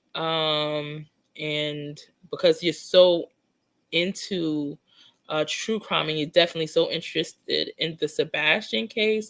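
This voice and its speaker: Speaking at a fairly slow pace, a woman with a very deep, low voice and ordinary pitch variation comes through on a very clean recording with a silent background. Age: 40s. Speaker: psychic true crime livestreamer. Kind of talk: casual livestream chat reading comments. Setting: live stream.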